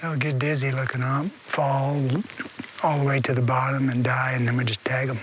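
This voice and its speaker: A man speaks in a flat monotone at very even loudness, with long, frequent pauses, audible room echo and noticeable background noise. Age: 60s. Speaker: bowhunting TV host and magazine editor. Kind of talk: casual field chat. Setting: outdoors in the mountains.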